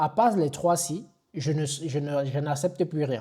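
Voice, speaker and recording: Recorded very cleanly with a silent background, a man speaks with a dark, mellow tone and a fairly high pitch. He sounds somewhat breathy, with fairly even intonation. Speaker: online IT instructor. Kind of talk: tutorial. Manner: casual with hesitations.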